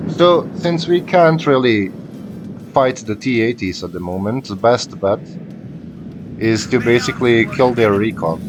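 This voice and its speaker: Music plays in the background as a man speaks at a medium pitch with very wide pitch swings. His pace is fairly slow, with long, frequent pauses. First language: not English. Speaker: gaming YouTuber. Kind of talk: live gameplay commentary. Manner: casual, thinking aloud with fillers.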